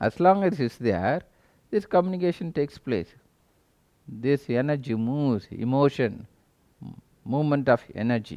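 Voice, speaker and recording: In a Tamil accent, a man with a dark, mellow tone and medium pitch speaks at a moderate pace, his lively intonation broken by long, frequent pauses. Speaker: spiritual teacher. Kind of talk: spiritual talk.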